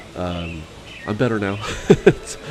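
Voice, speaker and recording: There is noticeable background noise behind a man whose voice sits fairly low in pitch. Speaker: Disney theme park vlogger. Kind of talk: vlog narration.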